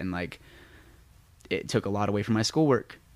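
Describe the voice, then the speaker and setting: On a very clean recording with a silent background, a man speaks with an American accent at a fairly low pitch. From US West, Las Vegas. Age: 20s. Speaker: dancer. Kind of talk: casual chat. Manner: animated.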